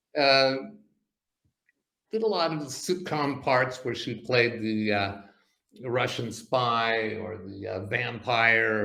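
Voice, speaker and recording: Audible room echo surrounds a man speaking at a fairly slow pace. His medium-pitched voice has a bright, sharp tone and ordinary pitch variation. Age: 60s. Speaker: comedy magician. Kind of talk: casual chat. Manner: halting, many fillers.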